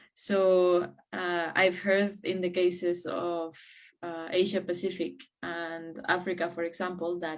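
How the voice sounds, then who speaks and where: A woman with a Spanish accent, fairly low in pitch, at a fairly slow pace. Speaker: community network regional coordinator. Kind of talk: conference presentation. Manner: hesitant, many fillers.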